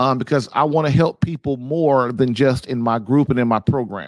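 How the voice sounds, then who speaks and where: Recorded dry and close with no echo, a man's medium-pitched voice moves at a moderate pace with ordinary pitch variation. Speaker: marriage podcast host. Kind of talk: live call-in show chat. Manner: halting.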